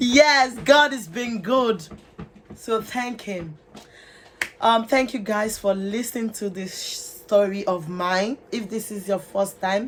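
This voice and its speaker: A woman with a Nigerian accent at a very slow pace and a fairly high pitch, with ordinary pitch variation, big swings in loudness, and noticeable background noise. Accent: Nigerian (Yoruba) English. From Nigeria, Lagos. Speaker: vlogger. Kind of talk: personal testimony.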